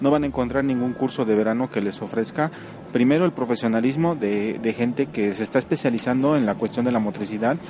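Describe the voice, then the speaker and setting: Noticeable background noise sits behind a man talking at a very fast pace. His pitch is medium with ordinary variation, and his loudness is very even. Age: 30s. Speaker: physical education teacher. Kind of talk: interview.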